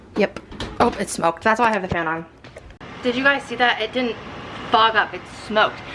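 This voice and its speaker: Over noticeable background noise, a woman with a fairly high pitch speaks at a very fast pace with ordinary pitch variation. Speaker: vlogger. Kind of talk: casual vlog.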